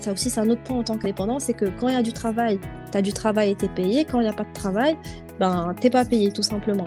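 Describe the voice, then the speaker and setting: Over background music, a woman talks very fast at a medium pitch with ordinary pitch variation. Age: young. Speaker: corporate lawyer. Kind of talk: interview answer.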